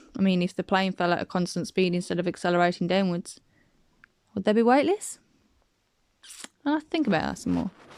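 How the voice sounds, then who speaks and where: Mumbling at a very fast pace with long, frequent pauses, a woman speaks with ordinary pitch variation in a dry, close sound with no echo. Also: medium pitch for a woman. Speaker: flat earth video maker. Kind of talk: casual rebuttal commentary.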